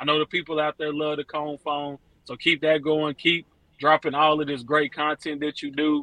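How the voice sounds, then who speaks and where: At a fairly quick pace, a man talks in a normal speaking voice with a fairly high pitch. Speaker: caller. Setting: phone call.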